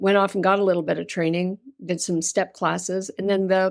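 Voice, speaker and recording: On a very clean recording with a silent background, a woman with a slight Canadian accent speaks at a medium pitch with fairly even intonation. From Canada. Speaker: yoga teacher and yoga therapist. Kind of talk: interview conversation.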